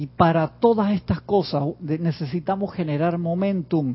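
This man's voice sits high, with ordinary pitch variation and a fairly slow delivery. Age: 50s. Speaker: spiritual teacher. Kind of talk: online class.

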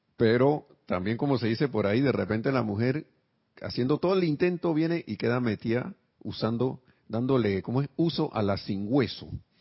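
A man with an unremarkable speaking voice talks at a moderate pace, his medium pitch carried by lively intonation. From Panama. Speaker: spiritual teacher. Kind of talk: spiritual class.

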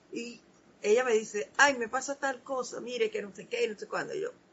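Somewhat breathy, a woman's voice rises and falls with lively intonation. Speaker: spiritual program host. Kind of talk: spiritual talk.

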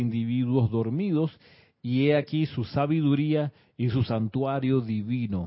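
With ordinary pitch movement, a man delivers his words fairly slowly. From Chile. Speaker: spiritual teacher. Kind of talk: livestream class. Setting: live stream.

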